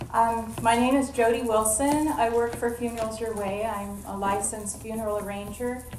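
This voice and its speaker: A woman speaks at a moderate pace with a fairly high pitch and ordinary pitch variation. There is noticeable background noise and audible room echo. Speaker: funeral arranger. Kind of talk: panel self-introduction. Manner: loud.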